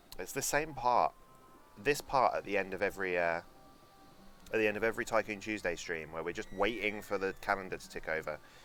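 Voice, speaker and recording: With music in the background, a man with a London accent talks fairly quickly in a fairly low voice with ordinary pitch variation. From London, England. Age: 20s. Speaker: video game streamer. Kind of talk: casual live-stream gaming commentary. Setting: live stream.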